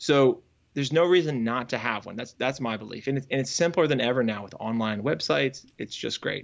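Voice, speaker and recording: This man talks at a fairly quick pace with a medium pitch and ordinary pitch variation. He has a plain, everyday voice and an American accent. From Northern Virginia. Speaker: software developer and coach. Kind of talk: interview conversation.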